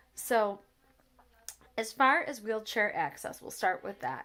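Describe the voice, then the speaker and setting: Over a very clean recording with a silent background, a woman mumbles at a fairly slow pace with ordinary pitch variation. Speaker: accessibility travel vlogger. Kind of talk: casual review chat. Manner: mumbling.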